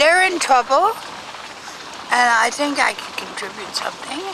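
Amid noticeable background noise, a woman with a high pitch and lively intonation speaks at a fairly slow pace with long, frequent pauses, the sound dry with no echo. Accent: American. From New York State, USA. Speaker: scholar of Afghanistan. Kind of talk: interview answer. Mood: calm, firm conviction. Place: car. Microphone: phone near.

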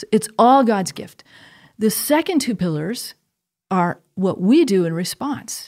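Against a quiet background, the speech moves at a fairly slow pace with big swings in loudness and very wide pitch swings. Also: woman. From US Northeast, Connecticut. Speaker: theology professor. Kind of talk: conversational interview on faith; interview answer. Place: studio. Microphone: studio mic.

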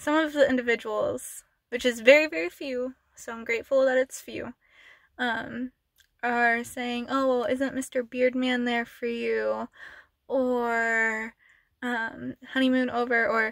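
Her voice is high for a woman and flat, monotone in intonation. She talks at a fairly slow pace against a quiet background, with a dry sound and no echo. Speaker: ASMR channel creator. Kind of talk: casual vlog chat. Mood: emotional, earnest, slightly upset. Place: car. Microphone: phone near.

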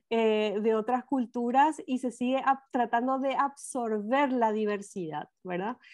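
Speaking very slowly at a high pitch, a woman uses ordinary pitch variation against a quiet background. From Paraguay. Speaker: documentary film director. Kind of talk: interview. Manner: many hesitations (eh). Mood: serious, concerned. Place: home room.

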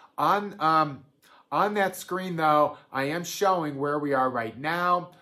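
A man's bright, sharp tone with ordinary pitch variation over a quiet background. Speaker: financial advisor. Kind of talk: solo video address to clients. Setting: home office at a cabin, recorded video. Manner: calm, even-keeled; frequent fillers, conversational. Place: home room.

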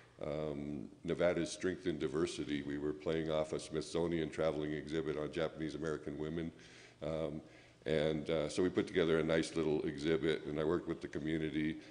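Monotone, flat intonation with audible room echo. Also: man, very deep, low pitch for a man, fairly quick pace. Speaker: history professor. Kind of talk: lecture. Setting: museum event with audience.

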